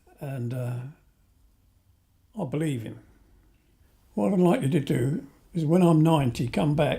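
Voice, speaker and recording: With a dark, mellow tone and a somewhat breathy quality, a man speaks at a fairly high pitch and a moderate pace. His pitch variation is ordinary, and he takes long, frequent pauses. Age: 70s. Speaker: pensioner interviewee. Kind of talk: interview testimony.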